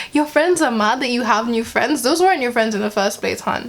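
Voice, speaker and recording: Over noticeable background noise, a woman speaks in a high pitch with an animated tone and lively intonation. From Kenya. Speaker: vlogger. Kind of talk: casual vlog commentary.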